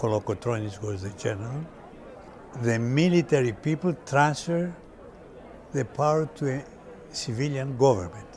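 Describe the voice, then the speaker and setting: In a Greek accent, a man speaks at a moderate pace and medium pitch. Long pauses come often. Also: lively intonation. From Greece. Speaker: restaurant owner. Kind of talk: personal reminiscence interview. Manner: halting.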